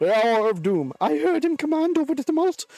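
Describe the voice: The pace stays moderate. It is a put-on character voice.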